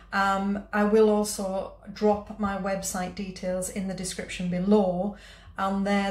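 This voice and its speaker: A woman's somewhat breathy voice carries audible room echo. Her intonation is monotone and flat. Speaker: food vlogger. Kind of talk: casual vlog chat. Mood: warm, friendly. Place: kitchen. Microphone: phone near.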